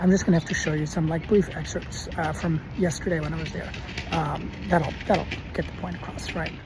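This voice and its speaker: Someone speaks at a fairly quick pace while music plays in the background. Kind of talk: vlog campus tour. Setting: indoors in a campus building bathroom; in a car. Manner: halting with many fillers.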